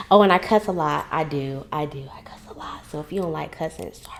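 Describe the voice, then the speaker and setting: Talking at a very fast pace, a woman uses a very deep, low pitch with vocal fry. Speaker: podcast host. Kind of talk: casual monologue vlog. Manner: loud; animated.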